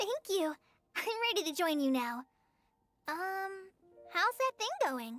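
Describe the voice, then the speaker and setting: In a squeaky, put-on character voice, the speaker moves at a fairly slow pace with very wide pitch swings. Long, frequent pauses break up the speech, and music plays in the background. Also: woman, extremely high pitch for a woman, dry, close sound with no echo. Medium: video game. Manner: shy, stammering.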